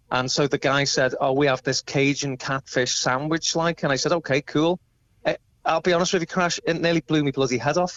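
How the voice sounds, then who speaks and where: With a Liverpool accent, a man speaks at a fairly quick pace in a fairly high pitch, his intonation fairly even and his loudness very even. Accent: Liverpool (Scouse). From England, Liverpool (Crosby). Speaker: tribute band musician. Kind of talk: phone interview. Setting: phone call.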